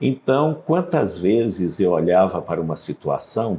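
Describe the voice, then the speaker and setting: A man talks at a medium pitch in a dark, mellow tone. His pitch swings very widely, with vocal fry. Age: 70s. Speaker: pastor and author. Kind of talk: interview.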